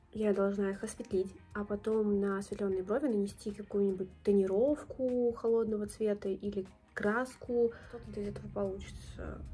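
Faint music sits behind a woman who speaks at a moderate pace with fairly even intonation. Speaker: beauty vlogger. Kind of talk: casual tutorial vlog chat. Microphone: phone near.

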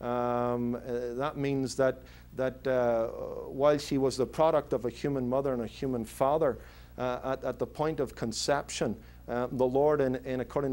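This man speaks with a Northern Irish accent at a moderate pace, his medium pitch held in a monotone, flat intonation. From Northern Ireland (Belfast). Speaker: pastor. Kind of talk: interview answer. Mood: earnest, explanatory. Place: office.

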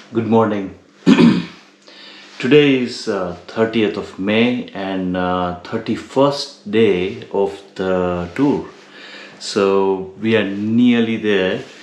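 A man talks at a very slow pace. Audible room echo surrounds his voice. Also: fairly low pitch for a man, ordinary pitch variation. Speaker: motorcycle touring vlogger. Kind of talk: casual vlog chat. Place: home room. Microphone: phone near.

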